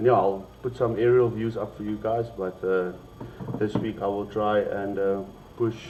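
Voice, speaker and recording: A man's monotone, flat voice over noticeable background noise. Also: fairly low pitch for a man, moderate pace. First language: Afrikaans. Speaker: esports stream host. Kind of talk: livestream chat. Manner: halting.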